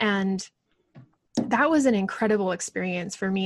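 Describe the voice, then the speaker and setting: Speaking with an American accent, a woman talks at a fairly quick pace in a somewhat breathy, medium-pitched voice. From US Pacific Northwest, Portland area. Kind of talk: casual interview.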